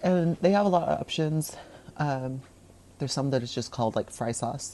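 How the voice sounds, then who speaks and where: Her voice is very deep and low, with a dark, mellow tone and lively intonation. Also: moderate pace. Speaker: home cook hosting a cooking show. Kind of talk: casual cooking tutorial.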